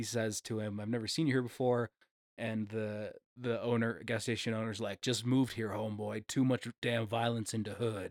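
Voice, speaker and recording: Recorded very cleanly with a silent background and a dry, close sound with no echo, a man speaks at a medium pitch in a monotone with flat intonation. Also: moderate pace. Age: 30s. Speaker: movie podcast host. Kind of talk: casual chat.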